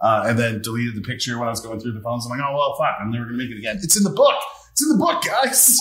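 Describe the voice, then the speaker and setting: A man at a very fast pace, amid noticeable background noise and audible room echo. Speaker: podcast host and actor. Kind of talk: casual chat. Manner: loud.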